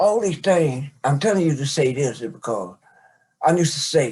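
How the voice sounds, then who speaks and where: Somewhat breathy and fairly high, a man's voice moves at a moderate pace with lively intonation. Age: 60s. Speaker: father telling his life story. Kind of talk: interview, life story. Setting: podcast recording, seated conversation.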